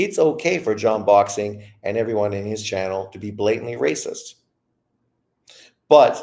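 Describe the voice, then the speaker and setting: On a very clean recording with a silent background, a man speaks at a moderate pace with lively intonation and a fairly low pitch, an ordinary speaking voice. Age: 50s. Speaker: boxing commentator. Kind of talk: casual chat.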